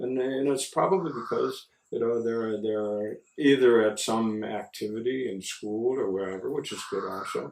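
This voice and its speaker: A man with a Chicago accent speaks at a medium pitch. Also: ordinary pitch variation, moderate pace. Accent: Chicago American English. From US Midwest, Chicago. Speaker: missionary priest. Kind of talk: interview. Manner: halting, many fillers and repeats.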